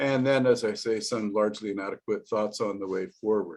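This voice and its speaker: A man's voice at a medium pitch. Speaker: professor. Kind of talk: lecture. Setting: video call. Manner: fast.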